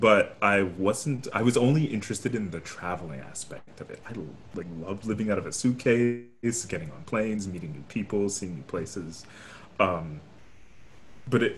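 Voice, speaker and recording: Somewhat breathy and delivered at a moderate pace with an American accent, the voice has lively intonation and big swings in loudness. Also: man, fairly low pitch for a man. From New York City (Brooklyn). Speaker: opera singer. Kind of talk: casual chat. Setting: video call.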